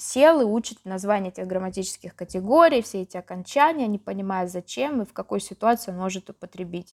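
A woman with an ordinary speaking voice, medium pitch and ordinary pitch variation, in a dry, close sound with no echo. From Yaroslavl, central Russia. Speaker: teacher of Russian as a foreign language. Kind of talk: interview.

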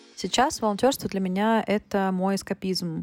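In a very clean recording with a silent background and a dry, close sound with no echo, a woman uses a normal speaking voice at a medium pitch, a moderate pace and fairly even intonation. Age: 20s. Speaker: technical writer and volunteer. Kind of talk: recorded voice message testimony.

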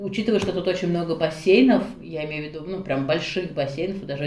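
A woman talks at a fairly low pitch. Audible room echo surrounds her voice. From Russia, Nizhny Novgorod. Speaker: interview guest, mother and book blogger. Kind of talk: casual interview. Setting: call.

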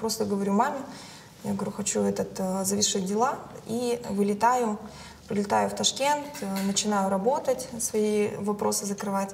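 Noticeable background noise can be heard. The speaking pace is moderate. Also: woman. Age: 30s. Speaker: entrepreneur. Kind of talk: casual chat.

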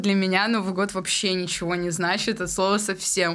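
Over clearly audible background noise, a woman talks with flat, monotone intonation. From Tyumen region, Russia. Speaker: podcast co-host. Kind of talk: casual chat.

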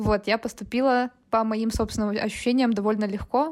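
Recorded very cleanly against a silent background, a woman with a plain, everyday voice speaks at a moderate pace and fairly high pitch, her intonation fairly even. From Russia, Chelyabinsk (Urals). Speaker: product marketer. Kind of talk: casual interview.

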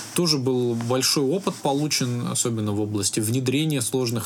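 Noticeable background noise runs through the clip. A man speaks over it at a medium pitch. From Russia, Altai Krai (Biysk). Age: 30s. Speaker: IT company founder. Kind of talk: interview.

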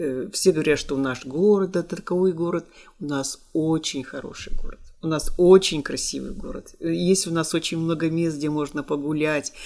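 On a very clean recording with a silent background, a woman speaks with a very deep, low pitch, a dark, mellow tone and fairly even intonation. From Kirovo-Chepetsk, Kirov region, Russia. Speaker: music school teacher. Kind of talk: casual interview.

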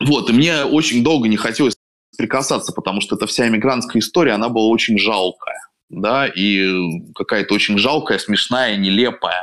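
A man with an unremarkable speaking voice talks at medium pitch. His pace is moderate and his pitch variation ordinary. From Russia, Saint Petersburg. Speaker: writer and columnist. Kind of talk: casual interview chat.

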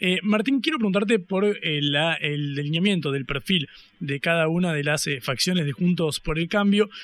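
The man's voice is high in pitch. He keeps a moderate pace with ordinary pitch variation. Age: 20s. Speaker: radio host. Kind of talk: radio interview and news commentary. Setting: radio studio.

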